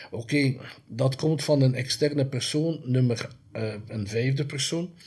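The man talks at a fairly slow pace, his voice fairly high and somewhat breathy. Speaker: horror filmmaker and streaming platform owner. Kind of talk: interview. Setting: at the guest's home or office. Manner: repeats words, halting.

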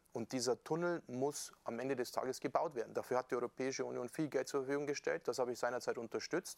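A man talks at a fairly quick pace. The sound is dry and close, without echo. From Bavaria, Upper Palatinate (Amberg). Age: 40s. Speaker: member of European Parliament. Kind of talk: casual interview. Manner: relaxed.

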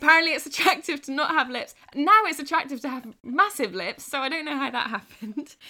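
A woman with a British accent talks at a fairly quick pace in a high, raised, projected voice. Her intonation is lively, and her loudness swings widely. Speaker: podcast host. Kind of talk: casual chat. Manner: laughs often.

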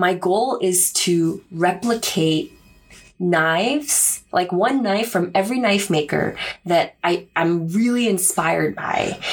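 Over music in the background, a woman with an American accent speaks very slowly at a medium pitch with ordinary pitch variation. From Korea-born, raised New York City and US East Coast. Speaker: podcast co-host, bladesmith. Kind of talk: casual chat. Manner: talkative.

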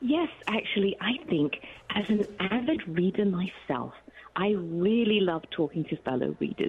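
Over noticeable background noise, a woman speaks fairly slowly with very wide pitch swings and very even loudness. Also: medium pitch for a woman. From Malaysia. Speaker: author. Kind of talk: radio interview. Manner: warm, animated, laughs often.

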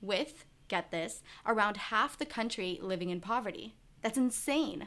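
The speaker is a woman with a plain, everyday voice and a medium pitch. She keeps a moderate pace and lively intonation. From grew up in the US, born in Israel. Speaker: podcast host. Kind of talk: scripted narration; interview.

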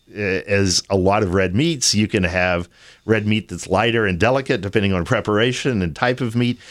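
An unremarkable speaking voice with an American accent moves at a moderate pace with ordinary pitch variation. The recording is very clean, with a silent background. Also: man, fairly low pitch for a man. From Texas, Austin. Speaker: winemaker. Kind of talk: casual interview. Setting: live event on campus.

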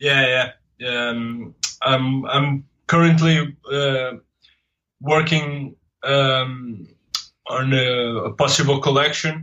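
Speaking very slowly, a man with a Portuguese accent leaves long, frequent pauses. His pitch is fairly high, and his intonation stays fairly even. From Portugal. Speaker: comics artist. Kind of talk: interview. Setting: remote call. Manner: halting.

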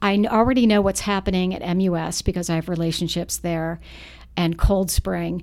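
A woman has an ordinary speaking voice with fairly low pitch. Her intonation is fairly even. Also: fairly quick pace. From US South, Charlotte, North Carolina. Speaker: parent group founder and activist. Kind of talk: podcast interview.

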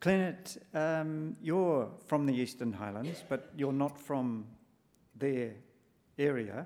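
At a very slow pace, a man with an Australian accent speaks in a dark, mellow tone at fairly high pitch with ordinary pitch variation. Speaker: panel facilitator and journalist. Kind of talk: moderating a panel discussion. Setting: live talk with audience.

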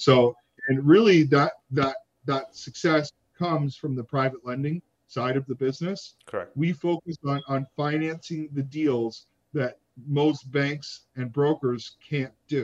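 A man with an ordinary speaking voice talks at a fairly slow pace, his pitch fairly high and his intonation fairly even, in a dry, close sound with no echo. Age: 30s. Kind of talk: interview.

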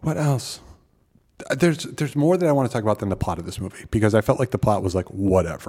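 A man's dark, mellow voice with very wide pitch swings, on a very clean recording with a silent background. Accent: Midwestern American. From US Midwest. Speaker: film podcast co-host. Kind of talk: casual chat.

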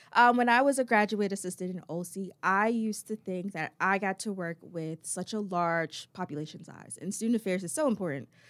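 A woman's unremarkable speaking voice with an American accent, medium in pitch, fairly quick with hardly any pauses, ordinary pitch variation and big swings in loudness, on a very clean recording with a silent background. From Chesapeake, Virginia. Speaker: student affairs program coordinator. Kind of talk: interview.

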